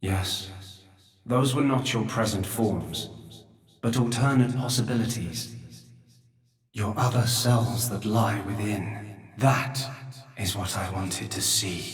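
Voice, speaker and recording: Using a put-on character voice at a medium pitch, a man talks at a fairly slow pace with long, frequent pauses and a slight echo. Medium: video game. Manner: slow, grave, measured.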